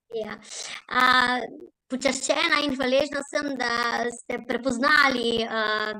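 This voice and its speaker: A woman with a high pitch and a bright, sharp tone speaks in a Slovenian accent. Her pace is very slow and her intonation fairly even. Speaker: singer, award recipient. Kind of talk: acceptance speech.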